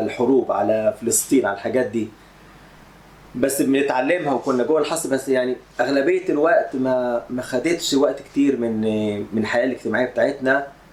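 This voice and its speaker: Noticeable background noise runs under this recording. A man speaks with a Cairo accent. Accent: Cairene Egyptian Arabic. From Egypt, Cairo. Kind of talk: interview testimony.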